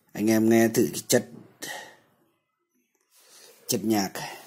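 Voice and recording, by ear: Speaking slowly with fairly even intonation, the man has a fairly low pitch and a dark, mellow tone.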